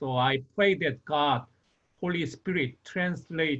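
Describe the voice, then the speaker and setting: A man talks with a non-native accent. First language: Korean. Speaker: pastor. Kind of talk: online meeting introduction.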